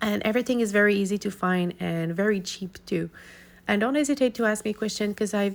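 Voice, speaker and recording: Speaking at a very fast pace, a woman uses ordinary pitch variation. Her recording is very clean, the background silent. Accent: non-native. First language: not English. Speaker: art YouTuber. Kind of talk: casual tutorial outro. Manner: halting.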